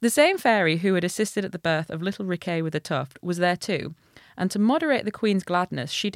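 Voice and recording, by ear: Natural reading aloud with pitch that varies in an ordinary way.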